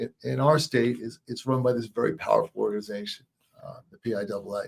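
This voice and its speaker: The man's voice sits at a medium pitch and is somewhat breathy. He has an American accent. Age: 70s. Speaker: businessman and sports referee. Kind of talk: interview. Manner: halting.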